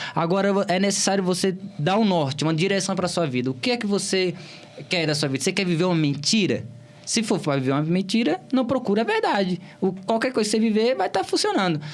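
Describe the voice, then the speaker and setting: A man with a Bahian accent speaks at a very fast pace in a high voice, his intonation lively and his loudness very even, over noticeable background noise. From Bahia, Brazil (Cícero Dantas, interior). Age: young. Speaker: political candidate. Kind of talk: interview.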